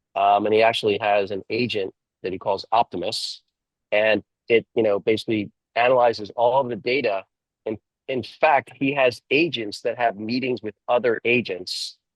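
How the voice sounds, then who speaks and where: A man of medium pitch speaks at a moderate pace, with a dry, close sound and no echo. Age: 60s. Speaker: entrepreneur and CEO mentor. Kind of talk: interview. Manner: halting, many fillers.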